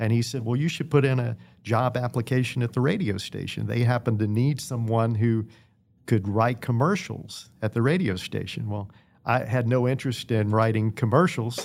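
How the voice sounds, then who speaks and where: A man with an American accent and an unremarkable speaking voice, medium in pitch, moderate in pace, with ordinary pitch variation, in a very clean recording with a silent background. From Virginia, Danville. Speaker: retired TV sports director, radio host. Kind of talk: interview.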